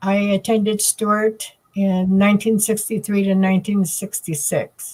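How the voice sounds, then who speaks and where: A somewhat breathy woman with an American accent speaks at a fairly slow pace. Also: very even loudness. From Nevada, Reno area (Paiute). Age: 70s. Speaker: boarding school survivor. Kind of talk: testimony. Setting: video call. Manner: halting.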